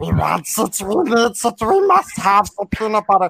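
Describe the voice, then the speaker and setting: A man puts on a raspy character voice with a high pitch. He talks at a moderate pace. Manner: pleading, whiny.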